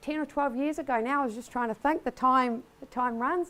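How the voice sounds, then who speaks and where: On a very clean recording with a silent background, a woman with a New Zealand accent speaks at a high pitch. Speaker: business executive. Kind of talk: conference keynote speech. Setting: stage before large audience. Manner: casual, many fillers.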